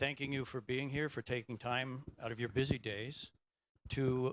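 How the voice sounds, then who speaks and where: A man with an American accent speaks at a medium pitch and moderate pace. The sound is dry and close with no echo. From USA. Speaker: chief engineer. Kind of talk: opening remarks speech.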